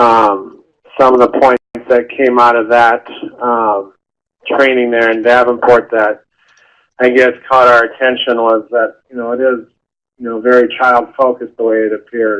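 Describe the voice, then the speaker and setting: With long, frequent pauses, a man with an American accent speaks at a moderate pace and medium pitch in a monotone, flat intonation. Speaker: after-school program director. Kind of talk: webinar panel talk. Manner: halting, many fillers.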